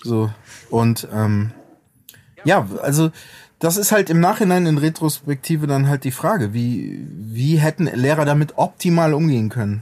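This man has an unremarkable speaking voice, fairly high in pitch, moving at a fairly slow pace with lively intonation. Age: 40s. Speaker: rapper and music producer. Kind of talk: casual chat.

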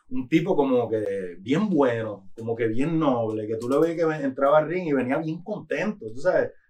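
A man talks in a normal speaking voice at a moderate pace. His intonation is lively. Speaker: rapper. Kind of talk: casual chat. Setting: studio.

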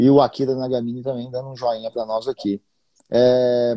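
A man's dark, mellow voice with a Minas Gerais accent, dry and close with no echo. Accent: Minas Gerais Brazilian Portuguese. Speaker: investing podcast host. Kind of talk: casual live-stream interview. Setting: Instagram live stream.

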